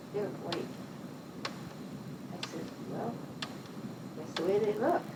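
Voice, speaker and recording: With an American accent, a woman talks while noticeable background noise carries on around her. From Pittsfield, Massachusetts, US. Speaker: retired nurse. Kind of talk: oral history interview. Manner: conversational, hesitant.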